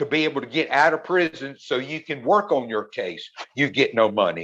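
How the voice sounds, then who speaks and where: A plain, everyday voice from a man, fairly high in pitch with ordinary pitch variation, fairly quick in pace, over a quiet background. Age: 60s. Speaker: exoneree. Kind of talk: panel discussion answer. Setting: video call.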